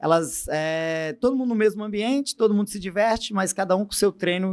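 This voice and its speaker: In a very clean recording with a silent background, a man talks at a fairly quick pace with lively intonation. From Brazil, Goiás (Goiânia). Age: 30s. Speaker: fitness coach. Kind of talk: interview conversation.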